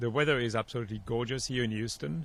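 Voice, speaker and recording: A man with a Swiss French accent and a medium-pitched voice. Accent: Swiss French accent, noticeable. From Switzerland. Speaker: marine geologist, professor. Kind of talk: radio interview. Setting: radio studio. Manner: halting.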